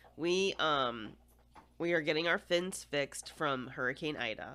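Loud and bright, with a sharp tone, a woman speaks with an American accent. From United States. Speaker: podcast host. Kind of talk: casual chat. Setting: home recording.

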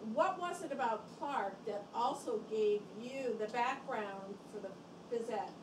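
With clear background noise behind her, a woman talks slowly in a fairly high pitch that shows ordinary variation.

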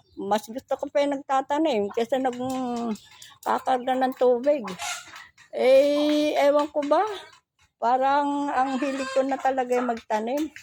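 This woman speaks at a fairly slow pace in a high voice, keeping her intonation fairly even. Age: old. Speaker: vlogger. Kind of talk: casual vlog. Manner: laughs often.

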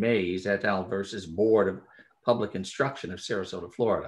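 The speaker is a man at a moderate pace. The background stays quiet. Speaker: panel moderator. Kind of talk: formal introduction. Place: home room. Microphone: video call.

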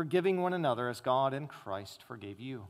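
At a moderate pace, a man is talking. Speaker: preacher. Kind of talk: scripture reading. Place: church.

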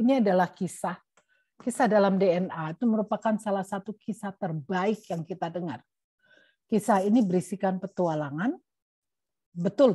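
A woman with a dark, mellow, somewhat breathy tone speaks at a moderate pace with ordinary pitch variation. The sound is dry with no echo, over a quiet background. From East Java, Indonesia. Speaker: genetics professor, guest lecturer. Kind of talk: lecture. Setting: video call. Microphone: webcam.

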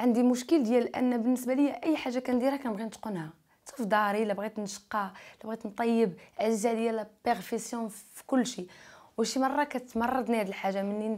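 Against a quiet background, a woman talks at a fairly quick pace with ordinary pitch variation and big swings in loudness. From Morocco. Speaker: YouTuber; interviewee. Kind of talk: interview. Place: studio. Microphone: lapel.

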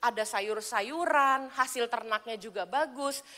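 A woman with a high-pitched, raised and projected voice speaks in an animated, bright, sharp tone. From Indonesia. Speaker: evangelist preacher. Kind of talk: sermon. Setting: church. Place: church.

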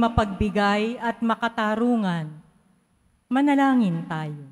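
A woman talking very slowly, fairly high in pitch, her pitch varying in an ordinary way. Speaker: lay lector. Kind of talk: prayer of the faithful intentions. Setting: church.

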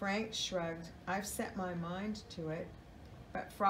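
An unforced reading voice with fairly even intonation

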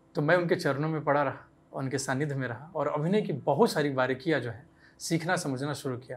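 Speaking at a moderate pace, a man with a fairly high pitch shows ordinary pitch variation. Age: 20s. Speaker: actor. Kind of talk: interview. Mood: warm, reflective storytelling. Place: studio.

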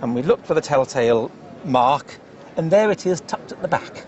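A man with a British accent talks at a fairly quick pace and with lively intonation over noticeable background noise. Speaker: antiques specialist. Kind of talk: casual chat.

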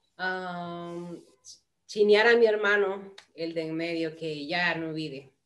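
Speaking at a very slow pace, a woman uses a fairly low pitch and fairly even intonation, while her loudness swings widely. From Honduras, Tegucigalpa; Honduras. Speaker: flutist and music teacher; interview guest. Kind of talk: casual interview. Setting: video call. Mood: warm, reminiscing. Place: home room.

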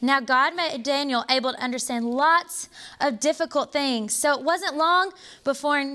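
A woman's raised, projected voice with a bright, sharp tone, ordinary pitch variation and a moderate pace, over a quiet background. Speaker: storyteller narrator. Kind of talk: children's story reading. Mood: warm, expressive storytelling. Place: hall. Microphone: lapel.

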